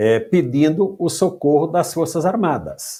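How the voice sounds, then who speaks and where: At a very slow pace, a man with a fairly high pitch speaks with vocal fry. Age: 60s. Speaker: retired judge. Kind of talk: interview.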